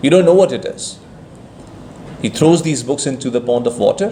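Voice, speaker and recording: The man's pitch varies in an ordinary way while noticeable noise runs in the background. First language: Persian. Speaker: speaker at a Sufi conference. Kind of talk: conference talk.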